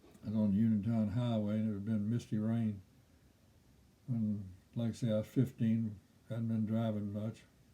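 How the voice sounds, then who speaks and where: Fairly low male voice, dark and mellow in tone, with monotone, flat intonation. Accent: Kentucky. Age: 80s+. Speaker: storyteller. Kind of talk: personal storytelling.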